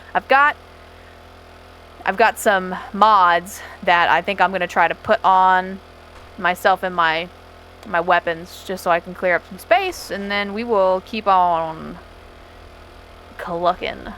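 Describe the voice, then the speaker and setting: The voice has a bright, sharp tone and fairly even intonation. It moves at a very slow pace, broken by long, frequent pauses. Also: woman, medium pitch for a woman, big swings in loudness. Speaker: gaming streamer. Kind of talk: gameplay commentary. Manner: casual, chatty.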